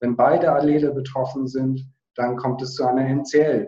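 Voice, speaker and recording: A man speaks at a fairly slow pace in a fairly high pitch, with a monotone, flat intonation. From northern Germany, Hamburg. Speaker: biochemist, foundation director. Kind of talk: interview.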